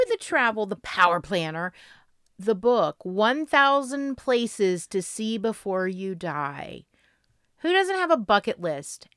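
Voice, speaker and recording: A woman with an American accent, fairly high-pitched with very wide pitch swings, at a fairly slow pace, in a dry, close sound with no echo and a very clean recording with a silent background. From Florida. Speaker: travel podcast co-host. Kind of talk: casual chat.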